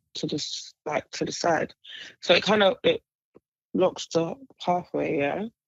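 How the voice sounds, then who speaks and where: A woman with a London accent speaks at a medium pitch. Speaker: podcast co-host. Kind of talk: casual chat.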